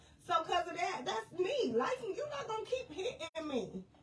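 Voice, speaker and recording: Over noticeable background noise, a woman talks in an animated tone with very wide pitch swings. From US Midwest, St. Louis. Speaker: life and business coach. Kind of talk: live stream talk to viewers. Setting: live video stream. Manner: casual, animated.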